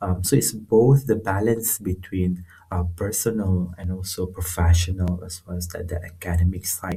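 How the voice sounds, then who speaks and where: A man's very deep, low voice with fairly even intonation and hardly any pauses, music in the background. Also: moderate pace, big swings in loudness. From northern Malaysia, rural. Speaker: researcher. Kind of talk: casual interview. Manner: halting, many fillers.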